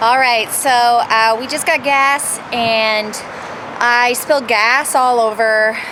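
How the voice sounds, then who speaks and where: Over noticeable background noise, a woman with a fairly high pitch talks at a very slow pace. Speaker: comedian. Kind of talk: casual chat.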